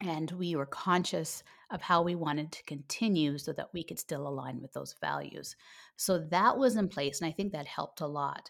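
A woman's normal speaking voice in a Canadian accent, fairly low in pitch, with ordinary pitch variation and a moderate pace, in a very clean recording with a silent background. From Canada. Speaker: homeschooling podcaster and coach. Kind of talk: casual interview chat.

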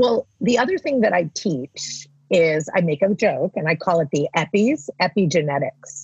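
Somewhat breathy, a woman speaks with very wide pitch swings and hardly any pauses. The sound is dry and close with no echo. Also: medium pitch for a woman, moderate pace. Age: 50s. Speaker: life coach. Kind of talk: casual chat. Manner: animated.

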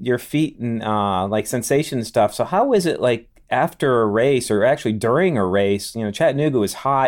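In a very clean recording with a silent background, a man with an unremarkable speaking voice talks at a moderate pace with lively intonation and hardly any pauses. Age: 50s. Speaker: podcast host and physical therapist. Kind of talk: podcast interview.

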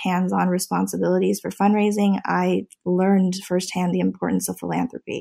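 A woman at a fairly quick pace with an American accent, on a very clean recording with a silent background. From US Midwest, Nebraska. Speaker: former dancer, nonprofit professional. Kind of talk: interview.

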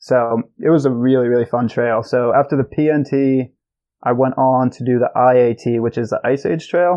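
This man has a normal speaking voice at medium pitch. His intonation stays fairly even and his pace is moderate. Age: 20s. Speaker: long-distance hiker. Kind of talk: casual chat.

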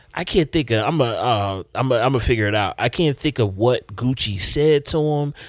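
On a very clean recording with a silent background, a man in an unremarkable speaking voice talks at a fairly quick pace with hardly any pauses, a medium pitch and ordinary pitch variation. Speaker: podcast host. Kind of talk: casual chat.

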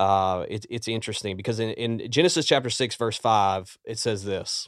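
A man speaks at a moderate pace in a Southern US accent, his pitch fairly low with ordinary variation. The recording is very clean, with a silent background. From Louisiana. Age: 40s. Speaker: executive pastor. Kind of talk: podcast interview. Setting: studio.

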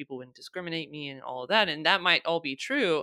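The voice has a bright, sharp tone, heard in a dry, close sound with no echo. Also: woman. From United States. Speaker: diversity and inclusion consultant. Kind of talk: interview conversation.

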